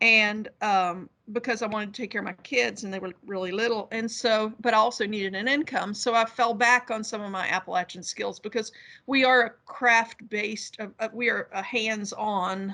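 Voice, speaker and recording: In a West Virginia accent, a woman speaks at a fairly high pitch with a bright, sharp tone, a moderate pace, and fairly even intonation. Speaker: academic. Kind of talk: panel discussion.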